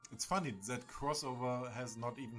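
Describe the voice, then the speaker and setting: A man with a German accent at a fairly quick pace, with ordinary pitch variation and music in the background. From Germany. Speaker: gaming streamer. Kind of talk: casual live stream commentary.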